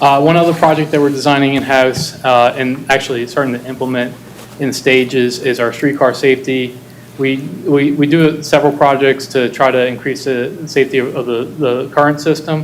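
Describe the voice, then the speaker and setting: Against noticeable background noise, a man speaks in a fairly high, monotone, flat voice at a moderate pace. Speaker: city transportation planner. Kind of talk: presentation at board meeting. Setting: boardroom meeting, hybrid. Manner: halting, many fillers.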